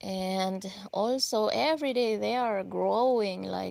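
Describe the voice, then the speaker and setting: This is a woman speaking with a Filipino accent. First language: Filipino (Ilocano). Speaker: gardening vlogger. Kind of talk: live stream garden tour. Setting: outdoors in garden. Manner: casual, hesitant with fillers.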